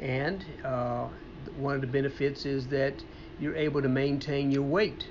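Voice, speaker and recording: A man talks at a moderate pace with fairly even intonation and long, frequent pauses. Room echo is audible. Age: 60s. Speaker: personal trainer and fitness show host. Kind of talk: casual chat. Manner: halting.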